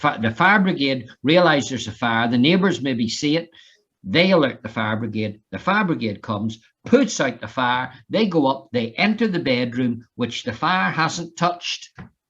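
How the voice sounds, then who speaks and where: Against a quiet background, a man with an Irish accent speaks at a moderate pace and medium pitch, with very wide pitch swings. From Ireland. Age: 60s. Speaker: fire safety trainer. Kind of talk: online lecture.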